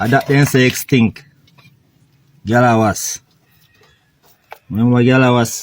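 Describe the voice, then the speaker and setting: A man with a Jamaican accent, medium pitch, fairly slow pace, monotone, flat intonation, and long, frequent pauses. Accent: Jamaican Patois. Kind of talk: casual comedic reaction talk.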